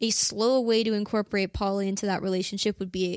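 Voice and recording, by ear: A woman at medium pitch, with vocal fry and little pitch movement. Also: very clean recording, silent background.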